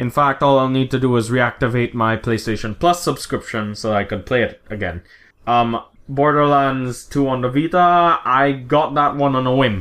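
A man's medium-pitched voice with ordinary pitch variation at a moderate pace, on a very clean recording with a silent background. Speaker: podcast co-host. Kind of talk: casual banter. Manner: passionate.

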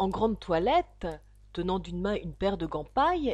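The voice heard here is a natural reading voice.

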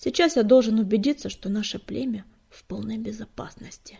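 Putting on a character voice, a woman talks fairly quickly at a fairly high pitch, her dark, mellow tone carrying a husky, rough edge and vocal fry, with ordinary pitch variation.

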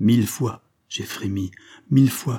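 The background stays quiet while someone gives a plain reading aloud with ordinary pitch movement.

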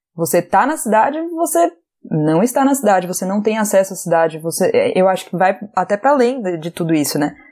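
At a fairly quick pace, a woman with a dark, mellow tone and medium pitch makes very wide pitch swings. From Brazil, Recife (Pernambuco). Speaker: podcast co-host. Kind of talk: casual chat.

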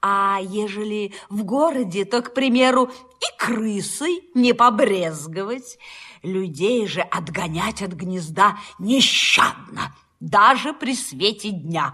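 Slowly, a woman performs a put-on character voice with a bright, sharp tone and a slightly husky edge. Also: medium pitch for a woman, lively intonation, few pauses.

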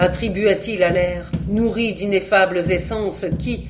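This is plain reading aloud. Nothing more is heard.

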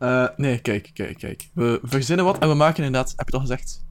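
His voice sits at a medium pitch for a man, and the man's pitch varies in an ordinary way. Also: fairly quick pace.

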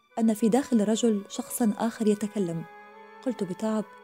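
The intonation of this natural reading voice is fairly even.

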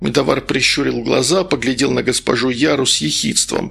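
A man talks at a fairly quick pace with a medium pitch and a fairly bright tone. His intonation is fairly even, with vocal fry.

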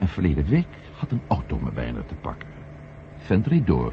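A man puts on a character voice at an extremely low pitch, swinging very widely in pitch at a moderate pace.

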